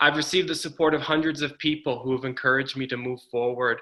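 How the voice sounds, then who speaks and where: Speaking with a Northeastern US accent, a man keeps his intonation fairly even. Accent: American (Northeast). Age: 30s. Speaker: political candidate. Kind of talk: campaign speech.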